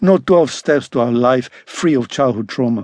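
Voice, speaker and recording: A plain, everyday voice from a man, pitched medium and paced moderately. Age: 60s. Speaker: author narrating own memoir. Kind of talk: unabridged audiobook reading of a first-person trauma memoir. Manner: measured, earnest, confessional pace; sober, quietly wounded tone recounting childhood neglect.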